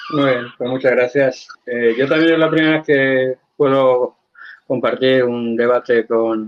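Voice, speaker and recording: Fairly slow male speech with fairly even intonation. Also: medium pitch for a man. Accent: Spanish. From Spain, Valencia. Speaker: religious debater. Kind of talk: formal debate.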